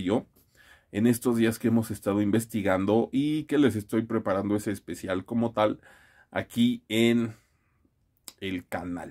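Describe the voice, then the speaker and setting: The background stays quiet as a man talks at a fairly slow pace. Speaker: fitness vlogger. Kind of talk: casual vlog chat. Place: home room. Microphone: phone near.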